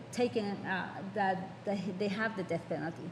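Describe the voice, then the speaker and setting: A woman with an American accent speaks at a medium pitch and a moderate pace. Room echo is audible, and there is noticeable background noise. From New York. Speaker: judge. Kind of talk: panel talk. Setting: conference panel. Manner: halting.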